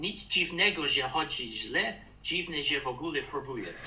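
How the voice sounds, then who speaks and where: A man with a British accent amid noticeable background noise. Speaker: former ambassador. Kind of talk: interview.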